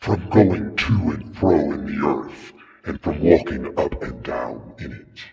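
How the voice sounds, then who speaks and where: There is a clear echo as a man speaks in a put-on character voice. It sits very deep and low, delivered at a fairly slow pace. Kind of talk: dramatic scripture reading. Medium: read story. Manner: insinuating.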